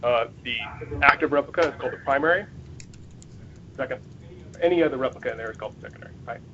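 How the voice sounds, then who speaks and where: A man talks very fast at a fairly high pitch, with ordinary pitch variation and big swings in loudness. He leaves long, frequent pauses, and background noise is noticeable. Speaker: Microsoft support engineer giving a user group talk. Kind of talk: technical presentation. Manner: excited.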